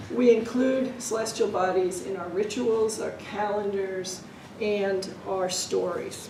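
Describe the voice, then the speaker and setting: Over noticeable background noise and audible room echo, a woman speaks very slowly in a medium pitch with fairly even intonation. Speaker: archaeologist, book author. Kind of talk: lecture. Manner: loud, projected teacher voice; quiet at first.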